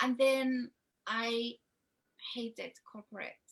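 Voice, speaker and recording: A woman with a Spanish accent, high-pitched with a bright, sharp tone, at a very slow pace. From Spain. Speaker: love coach. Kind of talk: interview.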